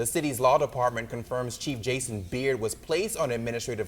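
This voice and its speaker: A man speaks while music plays in the background. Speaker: journalist; news anchor. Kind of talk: TV news anchor read.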